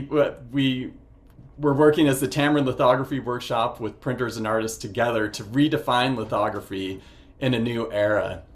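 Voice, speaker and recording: Using an ordinary speaking voice, a man talks at a moderate speed, his pitch medium and its variation ordinary. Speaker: master printer and printmaking educator. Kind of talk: virtual presentation with slides. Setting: video call.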